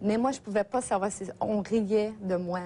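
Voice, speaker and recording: At a fairly slow pace, a woman speaks at a medium pitch with ordinary pitch variation and a dark, mellow tone. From Gaspésie, Quebec. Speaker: therapy client sharing experience. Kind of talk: testimony. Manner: halting, many hesitations.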